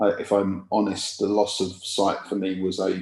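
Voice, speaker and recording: A man's fairly low voice comes through with a quiet background. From East London, England. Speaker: patient speaker. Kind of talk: talk at a patient event. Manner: halting.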